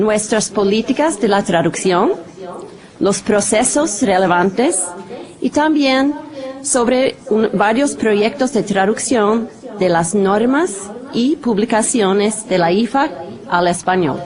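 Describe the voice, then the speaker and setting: Over noticeable background noise, a woman with a non-native accent speaks at a very slow pace and a fairly high pitch. Her intonation is lively while her loudness stays very even. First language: not Spanish (speaking Spanish). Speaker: translation department manager; presenter. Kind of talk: conference presentation. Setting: studio videoconference. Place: studio. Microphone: podium.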